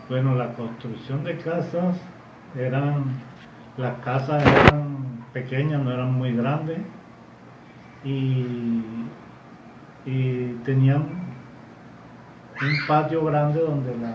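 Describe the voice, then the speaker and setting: The speech moves at a very slow pace with long, frequent pauses. Noticeable background noise and audible room echo fill the recording. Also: man, medium pitch for a man. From Colombia, Barranquilla (Caribbean coast). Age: 60s. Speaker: grandfather interviewed about the past. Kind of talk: interview recollection. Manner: halting, many repetitions.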